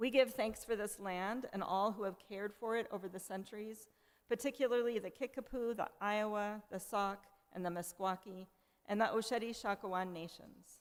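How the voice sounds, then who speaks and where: Using an ordinary speaking voice, a woman speaks at a moderate pace with fairly high pitch and fairly even intonation. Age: 60s. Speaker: worship associate. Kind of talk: church service welcome and call to worship. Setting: church.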